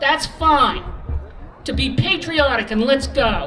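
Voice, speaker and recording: A woman speaks at a very slow pace. Crowd noise carries in the background, and the room echo is audible. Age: 60s. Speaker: former cafe owner, rally speaker. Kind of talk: protest rally speech. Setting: outdoor rally stage with crowd. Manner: animated.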